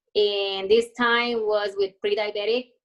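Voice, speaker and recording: Her intonation fairly even, a woman speaks at a fairly slow pace with a fairly high pitch. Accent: non-native. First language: not English. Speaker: hairdresser and health coach. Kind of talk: personal testimony. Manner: hesitant, many fillers.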